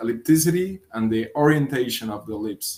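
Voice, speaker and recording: A fairly high-pitched man in a Spanish accent. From Colombia. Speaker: physics researcher. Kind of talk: conference talk. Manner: hesitant, with fillers and repetitions.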